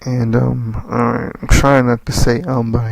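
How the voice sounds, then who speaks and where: A man with an American accent speaks at a medium pitch with fairly even intonation, over noticeable background noise. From US Northeast (tri-state area). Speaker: wrestling commentary vlogger. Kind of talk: casual monologue. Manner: halting, repeats words.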